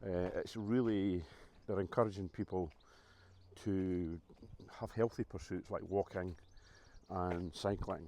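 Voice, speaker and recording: Speaking at a moderate pace, a man uses a very deep, low pitch and a dark, mellow tone with fairly even intonation. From Scotland. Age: 60s. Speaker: vlogger. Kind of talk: casual vlog talk to camera. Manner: hesitant, many fillers.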